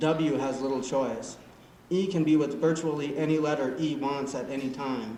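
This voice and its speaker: Noticeable background noise sits behind a man speaking at a moderate pace. His pitch is fairly high and his intonation fairly even. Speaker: poet. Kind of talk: poetry reading. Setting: live open-mic event.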